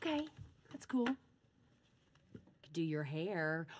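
Speaking slowly in a put-on character voice, a woman uses a low pitch with big pitch swings.

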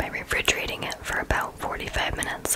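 With noticeable background noise behind it, the whispering has a gentle tone. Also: woman. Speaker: ASMR content creator. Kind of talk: ASMR whispered recipe tutorial. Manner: whispered, slow, gentle.

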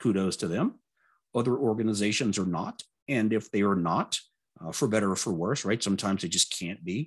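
A man with an American accent speaks at a fairly quick pace, his pitch fairly low with ordinary variation, against a quiet background. He has an ordinary speaking voice. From US South, Louisiana. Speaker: test automation speaker; speaker. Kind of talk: conference talk. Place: home room.

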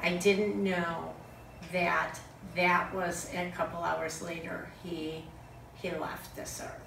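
Speaking at a very slow pace with long, frequent pauses, a woman with a fairly low pitch keeps her intonation fairly even while her loudness swings widely, over audible room echo and light background noise. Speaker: friend of the deceased; speaker. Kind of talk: eulogy. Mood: earnest, emotional. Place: home room.

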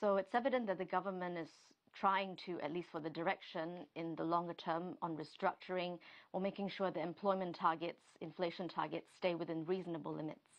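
A woman with an unremarkable speaking voice, fairly low in pitch, at a fairly quick pace with fairly even intonation over a quiet background. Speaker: TV news correspondent. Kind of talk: live news interview answer. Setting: studio.

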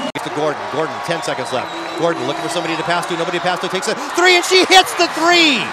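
The speech goes at a very fast pace. Loud background noise fills the dry sound, which has no echo. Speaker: sports commentator. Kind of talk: live sports commentary. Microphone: headset.

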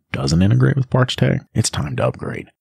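A man talks with a very deep, low pitch and vocal fry. His pitch swings very widely. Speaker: podcast host. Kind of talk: casual chat. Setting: trade show event.

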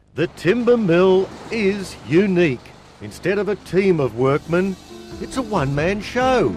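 Over music in the background, a man with a high pitch talks at a fairly slow pace with lively intonation. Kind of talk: TV documentary narration.

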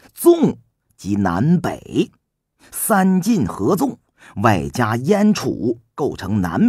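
Over a quiet background, the voice is a natural reading voice.

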